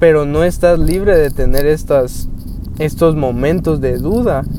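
With noticeable background noise behind him, a high-pitched man talks at a fairly slow pace with ordinary pitch variation. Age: 20s. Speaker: youth preacher. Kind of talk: devotional talk.

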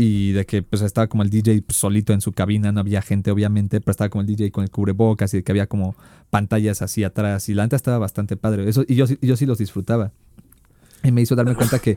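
A man with a Mexican accent talks at a very fast pace in a fairly low pitch with a dark, mellow tone and monotone, flat intonation, on a very clean recording with a silent background and a dry, close sound with no echo. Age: 20s. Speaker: communication student, podcast co-host. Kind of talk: casual chat.

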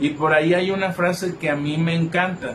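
Noticeable background noise surrounds a man who speaks with a fairly high pitch, fairly even intonation, and a fairly slow pace. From Mexico, Colima. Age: 20s. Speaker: psychologist. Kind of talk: live stream reflection talk. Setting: live video stream. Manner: halting.

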